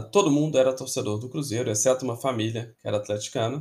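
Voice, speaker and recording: Speaking at a fairly quick pace, a man with a medium-pitched, somewhat breathy voice uses ordinary pitch variation. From Belo Horizonte, Minas Gerais, Brazil. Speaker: football podcaster and historian. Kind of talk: casual podcast monologue.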